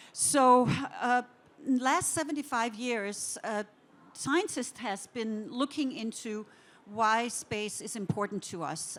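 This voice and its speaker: A woman speaks with a Danish accent at a fairly slow pace. Her pitch is fairly high and her intonation is lively. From Denmark. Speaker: interior design director. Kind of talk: conference talk.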